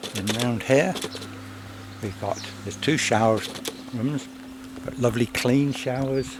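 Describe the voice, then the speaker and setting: The speaker is quiet and talks at a fairly slow pace with long, frequent pauses. Background noise is noticeable. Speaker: microlight pilot. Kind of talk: casual vlog talk.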